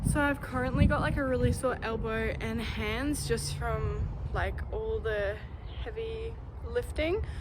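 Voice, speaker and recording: In an Australian accent, a woman speaks at a fairly slow pace over noticeable background noise, with audible room echo. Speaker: vlogger. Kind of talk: travel vlog. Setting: outdoors. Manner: loud.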